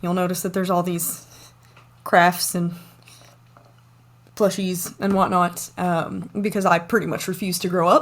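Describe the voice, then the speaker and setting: A woman with an American accent talks at a fairly slow pace in a monotone, flat intonation, leaving long, frequent pauses. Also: medium pitch for a woman. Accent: Southern US, comes out when tired. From US South, East Tennessee. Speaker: university lecturer. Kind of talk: online lecture. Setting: home office, recorded video.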